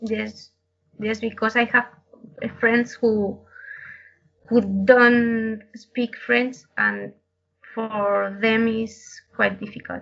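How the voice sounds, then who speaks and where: Very slowly and with long, frequent pauses, a woman speaks in a fairly high, monotone, flat voice with a Spanish accent. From Madrid, Spain. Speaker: brewery lab scientist, interviewee. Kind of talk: interview, answering questions in a second language.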